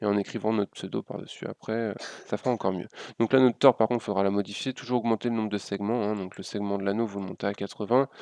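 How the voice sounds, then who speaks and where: The recording is dry and close, with no echo. A man with a fairly low pitch talks very fast in a flat monotone. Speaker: graphic design tutorial youtuber. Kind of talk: software tutorial. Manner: hesitant, many fillers.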